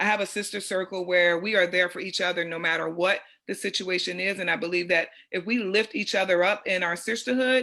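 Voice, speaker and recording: A woman with an American accent speaks at a fairly quick pace, her medium-pitched voice bright and sharp in tone. Her intonation is fairly even, in a very clean recording with a silent background. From US Northeast, Chester, Pennsylvania. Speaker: coach and nonprofit founder. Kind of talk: panel discussion.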